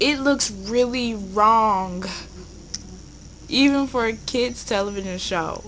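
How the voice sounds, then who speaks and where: A woman talks very slowly with a fairly high pitch and ordinary pitch variation. Long, frequent pauses break up her speech, with audible room echo and noticeable background noise. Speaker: YouTuber. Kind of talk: commentary video. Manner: stuttering.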